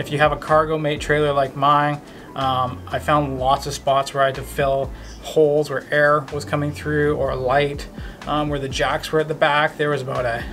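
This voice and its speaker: With music in the background, a man talks at a moderate pace in a monotone, flat voice. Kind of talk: casual vlog chat. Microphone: phone near.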